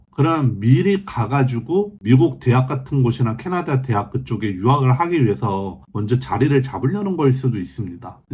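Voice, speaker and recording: A man speaks in a somewhat breathy voice. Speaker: vlogger on life in China. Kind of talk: casual news roundup. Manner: halting with self-corrections.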